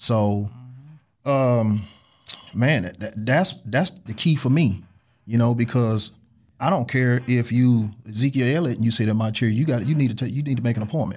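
A normal speaking voice with an American accent talks at a moderate pace, with ordinary pitch variation. The recording is very clean, with a silent background. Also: man, medium pitch for a man. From St. Louis, Missouri. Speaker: barber, shop owner. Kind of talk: casual chat.

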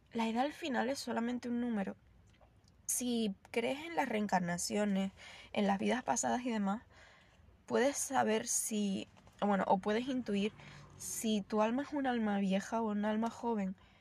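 A woman speaks at a fairly slow pace with a fairly high pitch, a somewhat breathy quality, ordinary pitch variation, and long, frequent pauses. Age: 20s. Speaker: yoga teacher. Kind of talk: casual monologue. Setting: in a car.

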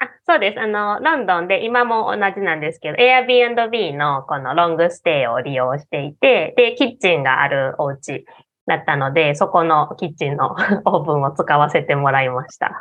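A woman in a Kansai accent at fairly low pitch and moderate pace, with very wide pitch swings and big swings in loudness. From Osaka, Japan. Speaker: Japanese teacher and local tour guide. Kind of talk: casual interview chat.

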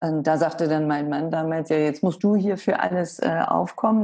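Delivered with ordinary pitch variation at a moderate pace, the speech comes in a plain, everyday voice. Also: woman. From Hamburg, northern Germany. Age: 60s. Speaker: author. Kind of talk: interview.

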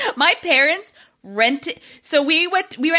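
This woman's voice is bright and sharp, raised and projected, with lively intonation. The recording is very clean, with a silent background. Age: 30s. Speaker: comedy podcast co-host. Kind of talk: casual chat.

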